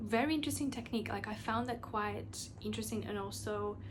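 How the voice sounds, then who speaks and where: Audible room echo colors the recording. A woman speaks at a moderate pace. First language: not English (English is third language). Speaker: podcast host. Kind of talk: solo podcast monologue. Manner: casual, filler-heavy with restarts.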